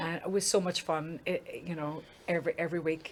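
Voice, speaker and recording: Speaking at a fairly quick pace, a woman with an Irish accent has a fairly low pitch. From Ireland. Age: 50s. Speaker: singer. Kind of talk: interview. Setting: studio.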